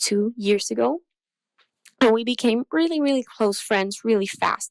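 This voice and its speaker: A woman with a Chilean accent speaks at a fairly high pitch on a very clean recording with a silent background, the sound dry and close with no echo. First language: Spanish. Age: 20s. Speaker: listener sending in a question. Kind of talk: recorded voice message.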